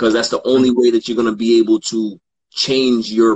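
Here is a man with an American accent in a normal speaking voice. He speaks at medium pitch and a moderate pace. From New York, Brooklyn. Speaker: sports podcaster and father. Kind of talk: casual chat.

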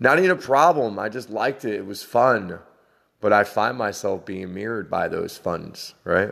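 In a normal speaking voice, a man talks at a moderate pace and fairly low pitch, with ordinary pitch variation, on a very clean recording with a silent background. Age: 40s. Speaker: spiritual podcaster. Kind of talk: spiritual monologue. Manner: meandering, conversational.

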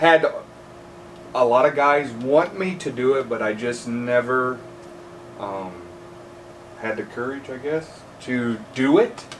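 Speaking very slowly with an American accent, a man at a medium pitch uses ordinary pitch variation, big swings in loudness and long, frequent pauses, with noticeable background noise. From northeast Indiana, US Midwest. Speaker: truck driver and part-time polisher. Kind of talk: casual chat.

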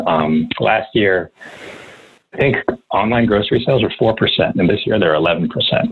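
An American-accented man, fairly low in pitch, at a moderate pace with long, frequent pauses, very even loudness and ordinary pitch variation. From New York. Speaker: snack company founder. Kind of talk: interview.

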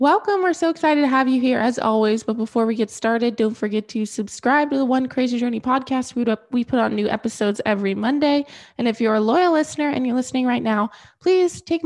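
A woman speaks at a fairly quick pace and a fairly high pitch, with ordinary pitch variation. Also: slightly mellow tone.

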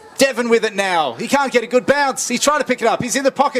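A man's voice, extremely high in pitch, cuts through noticeable background noise. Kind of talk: live sports commentary. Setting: Australian rules football match call.

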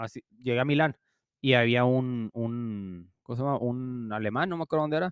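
Using a normal speaking voice, a man talks at a medium pitch with ordinary pitch variation. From Mexico. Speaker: podcast co-host. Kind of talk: casual chat.

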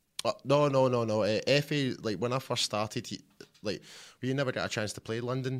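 A man speaks in a Scottish accent. His intonation is fairly even. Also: medium pitch for a man, fairly quick pace. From Scotland. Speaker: visiting fan. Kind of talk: casual chat. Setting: studio.

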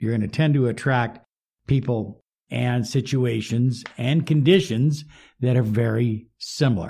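A man speaks at a very slow pace in a somewhat breathy voice with lively intonation. The recording is very clean, with a silent background. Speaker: self-help coach. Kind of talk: motivational talk.

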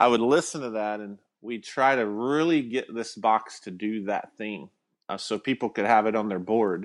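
With a Southern US accent, a man talks at a moderate pace and a medium pitch. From Alabama, small town. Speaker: guitar pedal company founder. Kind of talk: casual interview.

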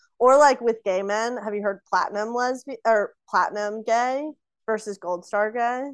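A woman with an ordinary speaking voice and an American accent speaks at a moderate pace in a fairly high pitch and fairly even intonation, with a dry, close sound with no echo and a quiet background. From US South. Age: 20s. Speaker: podcast guest. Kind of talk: casual chat.

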